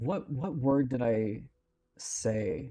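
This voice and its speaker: A man with a Californian accent, music playing in the background. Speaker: livestreaming artist. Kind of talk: casual chat. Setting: live stream. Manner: halting.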